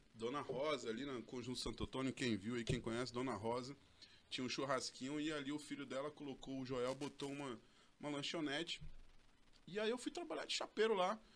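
The pace runs fairly quick, with ordinary pitch variation. It is an unremarkable speaking voice. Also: man, medium pitch for a man. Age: 40s. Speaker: real estate sales coordinator and broker trainer. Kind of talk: casual interview chat.

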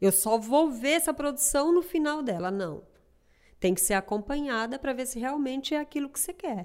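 The delivery has lively intonation and big swings in loudness. Its pace is moderate. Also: woman, high pitch for a woman. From Piauí, northeast Brazil. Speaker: seamstress and sample maker. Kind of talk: casual interview conversation.

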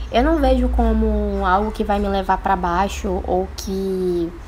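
A woman talks at a very slow pace. Room echo is audible, along with noticeable background noise. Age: 20s. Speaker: entrepreneur and law student. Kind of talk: casual interview. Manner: casual, filler-heavy.

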